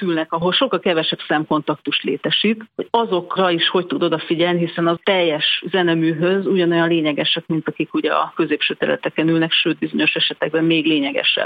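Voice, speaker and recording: A woman's fairly low voice at a very fast pace with fairly even intonation. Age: 40s. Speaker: bank executive. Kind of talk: interview.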